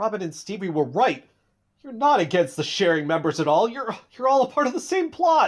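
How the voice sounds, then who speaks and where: In a put-on character voice, someone speaks fairly quickly in a nervous tone at a fairly high pitch with very wide pitch swings. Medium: audio drama. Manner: nervous, stammering.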